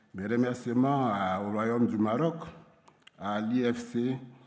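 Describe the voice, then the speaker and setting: A man's medium-pitched voice at a fairly slow pace, with ordinary pitch variation and audible room echo. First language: French. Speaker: insurance regulator official. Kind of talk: conference presentation. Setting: stage with audience. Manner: hesitant, many fillers.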